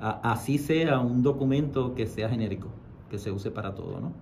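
A man's fairly quick, somewhat breathy speech in a dark, mellow tone, with light background noise. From Puerto Rico, western region. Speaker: university professor and writer. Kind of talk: radio interview. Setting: radio studio. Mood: emotional, reflective. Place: studio. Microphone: studio mic.

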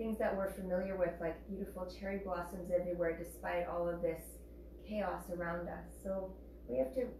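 Recorded with audible room echo and light background noise, a woman speaks at a fairly low pitch and moderate pace with fairly even intonation. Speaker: yoga teacher. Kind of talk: class instruction. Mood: calm, soothing. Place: home room. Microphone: camera far.

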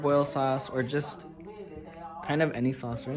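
A man's monotone, flat delivery over noticeable background noise. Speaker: food vlogger. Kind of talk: casual vlog chat. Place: kitchen. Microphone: phone near.

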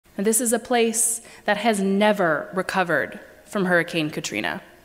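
Her intonation lively, a woman speaks at a fairly slow pace. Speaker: preacher. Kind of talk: sermon. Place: church.

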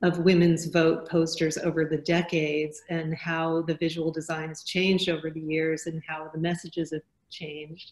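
Monotone, flat intonation marks a woman's fairly low voice. She speaks at a moderate pace over a quiet background. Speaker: graphic designer and curator; panel moderator. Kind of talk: panel discussion. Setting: video call. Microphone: video call.

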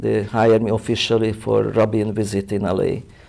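Speaking with a Hungarian accent, a man with a medium pitch and a dark, mellow tone delivers his words at a fairly slow pace in a monotone, flat intonation over a quiet background. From Hungary, Budapest. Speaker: photographer. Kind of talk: interview. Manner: halting. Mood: proud, reminiscing. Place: studio. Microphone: lapel.

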